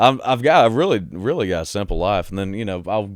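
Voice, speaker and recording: A Southern US accent comes through with ordinary pitch variation on a very clean recording with a silent background. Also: man. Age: 20s. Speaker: country singer-songwriter. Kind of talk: casual chat.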